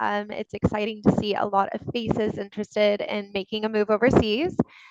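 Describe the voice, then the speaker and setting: Through a dry, close sound with no echo, a woman with an American accent talks at a moderate pace and a fairly high pitch. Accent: American accent, noticeable. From US (born in Texas, university in Colorado). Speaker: legal recruiter. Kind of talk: webinar presentation. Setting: video webinar.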